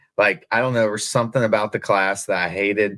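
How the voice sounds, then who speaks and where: Someone with a slight Southern US accent speaks at a fairly quick pace on a very clean recording with a silent background. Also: man. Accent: slight Southern twang. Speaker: podcast host. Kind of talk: casual interview chat.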